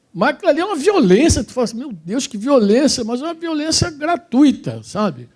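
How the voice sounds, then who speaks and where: A man with an extremely high pitch talks at a fairly quick pace with lively intonation, big swings in loudness and hardly any pauses. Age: 60s. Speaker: preacher. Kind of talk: sermon. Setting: church women's gathering with audience.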